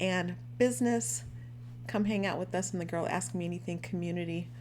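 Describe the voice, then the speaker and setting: In a room with audible echo, the speaker talks at a moderate pace in an animated tone. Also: woman. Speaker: life coach. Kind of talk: live stream talk.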